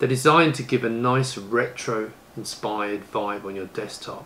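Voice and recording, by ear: The voice has a fairly bright tone, ordinary pitch variation and a moderate pace, heard with audible room echo. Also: man.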